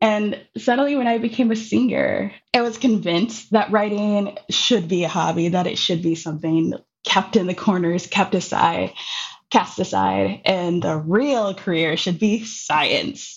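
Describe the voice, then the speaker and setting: With an American accent and some vocal fry, a woman speaks at a fairly slow pace, her medium pitch showing ordinary variation. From Minneapolis, US Midwest. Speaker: poet and educator. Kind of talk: interview conversation.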